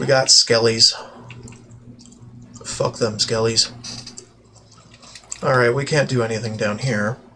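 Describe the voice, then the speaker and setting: A man at a medium pitch with fairly even intonation and long, frequent pauses, over noticeable background noise. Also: fairly slow pace. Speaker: gaming streamer. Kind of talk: casual gameplay commentary.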